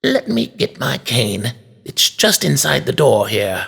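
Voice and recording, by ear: A man talks fairly slowly, his voice pitched in the medium range.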